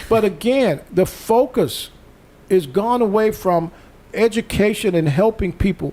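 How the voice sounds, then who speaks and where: Speaking at a moderate pace, a man with a high pitch uses an animated tone. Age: 60s. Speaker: talk show host. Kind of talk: casual discussion.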